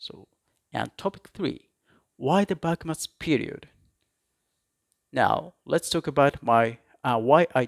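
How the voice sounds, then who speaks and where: A man speaks in a Japanese accent at a fairly high pitch and a fairly slow pace. His intonation is lively, and the recording is very clean with a silent background. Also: dry, close sound with no echo. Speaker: history YouTuber. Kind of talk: educational talk. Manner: halting, self-correcting.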